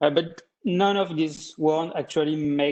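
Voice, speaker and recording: A man speaks with a French accent. His voice sits fairly high. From France. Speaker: data visualization specialist. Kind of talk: presentation. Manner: hesitant, many fillers.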